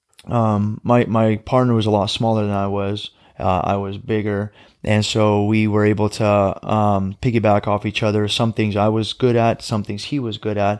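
On a very clean recording with a silent background, a man speaks at a moderate pace in a fairly low, monotone voice with flat intonation. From Russia, moved to US as small child. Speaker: army veteran and MMA fighter. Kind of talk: casual interview.

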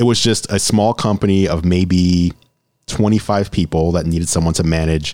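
With an American accent, a man talks at a moderate pace in a very deep, low pitch and fairly even intonation. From New York City. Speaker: tech YouTuber and business owner. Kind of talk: casual interview.

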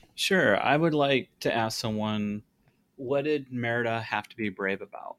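A man with an unremarkable speaking voice, medium pitch, ordinary pitch variation and a fairly slow pace, in a dry, close sound with no echo. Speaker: podcast co-host, director. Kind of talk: casual chat.

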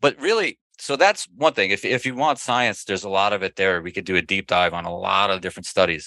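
Speaking at a very fast pace with hardly any pauses, a man with a fairly low pitch and a bright, sharp tone uses lively intonation, recorded dry and close with no echo. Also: quiet background. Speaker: red light therapy entrepreneur. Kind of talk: interview.

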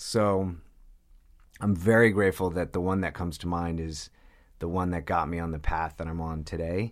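Fairly even intonation marks this man's very deep, low voice, which has an American accent. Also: very clean recording, silent background. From New York, Long Island. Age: 30s. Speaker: person in addiction recovery. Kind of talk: testimony.

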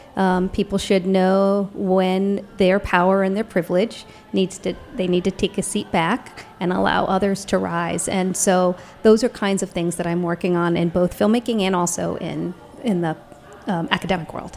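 The speech has a moderate pace and monotone, flat intonation, with noticeable background noise. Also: woman, medium pitch for a woman. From Ohio, US (after childhood in England and Canada). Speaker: documentary filmmaker and professor. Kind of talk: casual interview.

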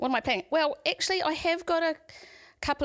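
A woman with a New Zealand accent, in a dry, close sound with no echo. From New Zealand, Waikato. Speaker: painter and artist. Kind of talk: casual interview.

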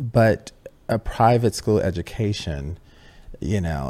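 A man with an American accent talks at a very slow pace in a dark, mellow tone with vocal fry. His pitch swings very widely. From US Midwest, Chicago Southwest Side. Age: 40s. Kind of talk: interview conversation. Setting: in person, Venice Beach.

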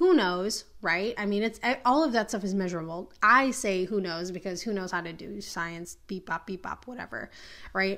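Bright and sharp in tone, a woman with an American accent sounds animated, with ordinary pitch variation. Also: medium pitch for a woman, moderate pace. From Minneapolis, US Midwest. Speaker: podcast host and spiritual teacher. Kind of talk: monologue rant.

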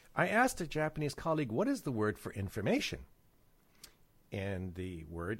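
In a very clean recording with a silent background, a man speaks with vocal fry and very wide pitch swings. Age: 60s. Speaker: business consultant. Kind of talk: casual chat.

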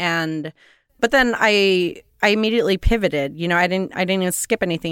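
With an American accent, a woman talks in an ordinary speaking voice at a medium pitch and a fairly quick pace, her pitch varying normally, in a dry, close sound with no echo and a very clean recording over a silent background. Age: 40s. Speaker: poet. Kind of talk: interview.

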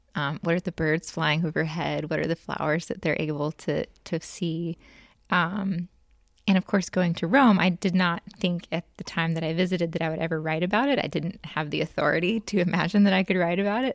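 A woman speaks at a fairly quick pace with an American accent, her pitch fairly low and its variation ordinary. The recording is very clean, with a silent background and a dry, close sound with no echo. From US South, Jackson, Mississippi. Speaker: novelist and historian. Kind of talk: interview.

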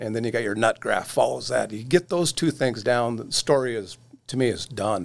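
A plain, everyday voice speaks at a moderate pace with an American accent. The pitch variation is ordinary. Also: man. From Oregon. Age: 60s. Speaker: magazine editor. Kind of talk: casual chat.

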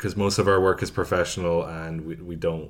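This man has a very deep, low pitch. He speaks at a fairly quick pace. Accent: Irish. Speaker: podcast co-host. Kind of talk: casual banter.

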